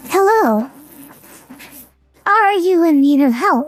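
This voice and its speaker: In a put-on character voice, a woman goes extremely high in pitch with very wide pitch swings, sounding breathy at a fairly slow pace. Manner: seductive, sultry.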